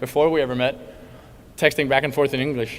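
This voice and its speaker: With a Danish accent, a man speaks at a fairly high pitch with fairly even intonation. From Denmark, Copenhagen suburbs. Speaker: college tennis player. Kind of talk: banquet speech.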